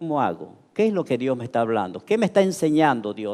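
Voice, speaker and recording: A fairly high-pitched male voice with very wide pitch swings. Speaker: pastor. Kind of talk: sermon. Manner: halting.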